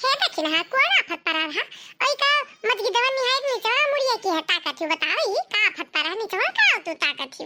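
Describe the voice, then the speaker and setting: A woman uses a squeaky, cartoonish character voice at an extremely high pitch. She talks at a fairly quick pace with very wide pitch swings. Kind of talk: cartoon comic dialect acting. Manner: blunt, scolding.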